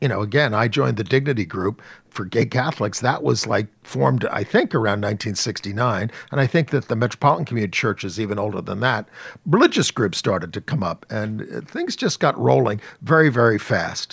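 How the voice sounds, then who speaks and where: A man talks at a fairly quick pace with vocal fry and lively intonation. His pitch sits fairly low. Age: 60s. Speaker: journalist and activist. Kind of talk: interview.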